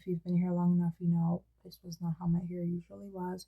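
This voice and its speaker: In a dry, close sound with no echo, a woman talks with fairly even intonation and a somewhat breathy voice. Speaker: fantasy writer and video creator. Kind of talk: casual vlog update.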